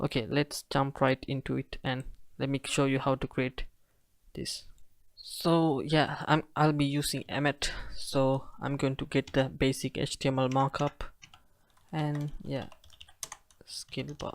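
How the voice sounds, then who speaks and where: A man speaks at a fairly high pitch in a flat monotone, with long, frequent pauses, on a very clean recording with a silent background and a dry, close sound with no echo. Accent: non-native. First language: not English. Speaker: web development tutorial creator. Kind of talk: coding tutorial. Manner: casual, hesitant.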